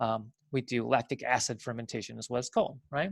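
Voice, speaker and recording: A dry, close sound with no echo, its pitch varying in an ordinary way. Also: man. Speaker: biology teacher. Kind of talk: lecture. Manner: fast; filler-heavy with self-corrections.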